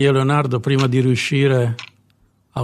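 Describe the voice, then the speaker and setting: A man's somewhat breathy, medium-pitched voice at a fairly quick pace, with fairly even intonation. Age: 50s. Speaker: comedian. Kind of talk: comic monologue.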